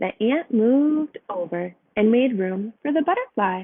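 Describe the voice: A woman talks at a fairly slow pace. Her fairly high voice has lively intonation.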